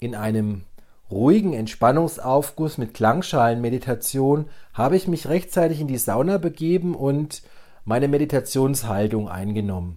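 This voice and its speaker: Lively intonation marks this male speaker. His tone is dark and mellow. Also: medium pitch for a man, moderate pace. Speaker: transformation coach, podcast host. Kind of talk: solo podcast talk on mindfulness; guided meditation. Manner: calm, measured.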